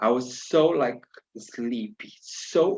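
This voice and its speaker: This is a man speaking. He has a Brazilian accent. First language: Portuguese. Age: 40s. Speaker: spiritual tarot practitioner. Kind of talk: personal life story. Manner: non-native, hesitant phrasing.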